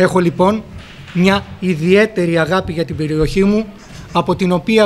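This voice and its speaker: A man's high-pitched voice at a fairly slow pace with ordinary pitch variation, faint music in the background. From Greece, Fthiotida (Locris); Greece. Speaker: politician. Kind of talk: formal speech. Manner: formal. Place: hall. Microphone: podium.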